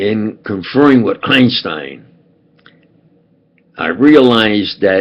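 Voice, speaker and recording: A man talks with a New York accent. His pace is very slow, with ordinary pitch variation. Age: old. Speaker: self-styled preacher and commentator. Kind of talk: rambling monologue to camera. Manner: halting, many fillers and restarts.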